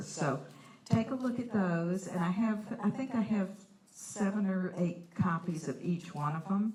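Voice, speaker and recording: Noticeable background noise sits behind a woman's voice. She speaks at a fairly slow pace with ordinary pitch variation. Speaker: watercolor artist giving a painting demo. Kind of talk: live art demonstration. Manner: loud.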